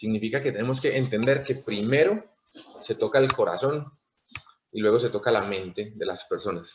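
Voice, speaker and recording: This man speaks at a moderate pace in a medium-pitched, somewhat breathy voice. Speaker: network marketing leader / motivational speaker. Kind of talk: talk to online audience. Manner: halting.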